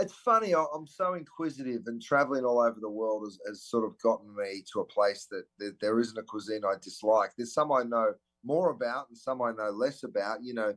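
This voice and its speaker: A man speaks in an Australian accent with hardly any pauses. His loudness swings a lot while his pitch varies in an ordinary way. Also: medium pitch for a man, fairly quick pace. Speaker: celebrity chef. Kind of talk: interview answer.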